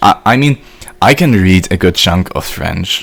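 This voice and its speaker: A man's very deep, low pitch at a fairly slow pace, with noticeable background noise. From German-speaking country. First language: German. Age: 20s. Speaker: video game streamer. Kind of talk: live stream chat. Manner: casual.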